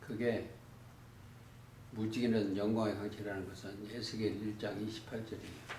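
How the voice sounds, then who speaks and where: The speech moves at a moderate pace with long, frequent pauses and a monotone, flat intonation. Audible room echo and noticeable background noise are present. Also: man, fairly low pitch for a man. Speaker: bible teacher. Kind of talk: bible study lecture.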